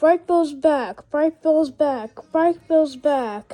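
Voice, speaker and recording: A woman puts on a character voice, high in pitch. She delivers it at a very slow pace. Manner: muttering.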